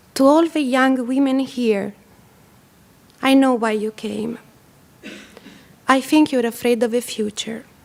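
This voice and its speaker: A woman's high-pitched, fairly slow speech with fairly even intonation and long, frequent pauses. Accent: Italian. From Italy. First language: Italian. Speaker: photographer. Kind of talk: presentation. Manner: soft-spoken.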